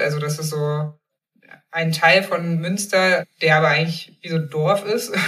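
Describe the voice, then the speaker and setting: A woman speaks at a fairly low pitch in an ordinary speaking voice. Her intonation is fairly even. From eastern Germany, Magdeburg. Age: 30s. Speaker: journalist and author. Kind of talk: casual interview.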